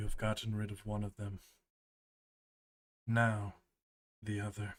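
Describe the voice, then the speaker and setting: A man's put-on character voice, fairly low in pitch and monotone, flat in intonation, at a moderate pace. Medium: actual play. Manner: cold and commanding.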